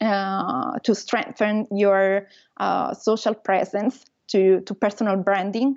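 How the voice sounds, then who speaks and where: With an Italian accent, a woman speaks at a very slow pace in a fairly high pitch. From Italy. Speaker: travel blogger. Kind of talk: interview. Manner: halting.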